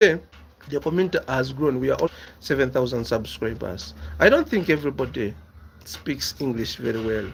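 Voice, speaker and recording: Vocal fry colors this man's medium-pitched voice. He talks at a moderate pace with lively intonation. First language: a local African language. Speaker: business YouTuber. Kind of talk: casual monologue answering viewer questions. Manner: halting, repeats words.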